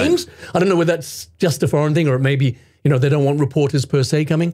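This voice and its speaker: This man's voice sits fairly high and has a dark, mellow tone. He talks at a very fast pace and sounds somewhat breathy. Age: 50s. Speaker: voice actor. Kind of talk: interview answer. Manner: energetic, upbeat.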